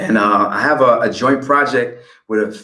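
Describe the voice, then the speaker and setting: A man speaks with a New York accent. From DC / Maryland area, US, raised by family of African background. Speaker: rapper. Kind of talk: interview. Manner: hesitant, many fillers and repeated words.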